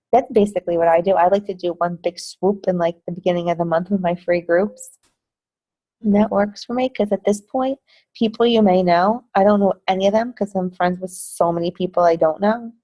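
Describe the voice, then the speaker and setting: Fairly quick, fairly even speech from a woman of medium pitch with a New Jersey accent, dark and mellow in tone, dry and close with no echo. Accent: New Jersey American. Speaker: fitness business team coach. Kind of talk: team training call. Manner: casual, chatty.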